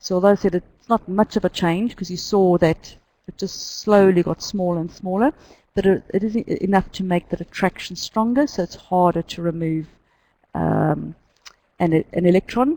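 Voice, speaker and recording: A woman's medium-pitched voice, dark and mellow in tone, with ordinary pitch variation, a moderate pace and a New Zealand accent, on a very clean recording with a silent background and a dry, close sound with no echo. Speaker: chemistry teacher. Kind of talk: lecture. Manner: halting.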